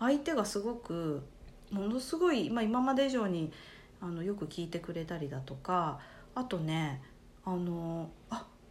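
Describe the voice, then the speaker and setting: With audible room echo, a woman speaks at a fairly slow pace and fairly low pitch, her voice making very wide pitch swings. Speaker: life coach. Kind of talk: casual chat.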